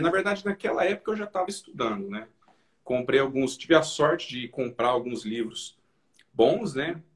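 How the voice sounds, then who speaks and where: Somewhat breathy, a man with a Minas Gerais accent speaks with very wide pitch swings. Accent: mineiro. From Minas Gerais, Brazil. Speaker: finance educator, investor. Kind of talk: live stream interview. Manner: halting, repeats words.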